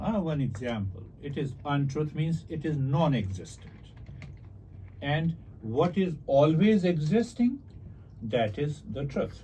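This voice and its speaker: Speaking at a very slow pace with long, frequent pauses, a man uses a fairly high, somewhat breathy voice of dark, mellow tone that makes very wide pitch swings. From India. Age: 60s. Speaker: meditation teacher and author. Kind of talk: interview about spirituality.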